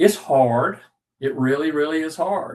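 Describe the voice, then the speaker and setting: A man is speaking. His pace is fairly slow. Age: 60s. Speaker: leadership coach. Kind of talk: webinar presentation. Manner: repetitive, stammering restarts.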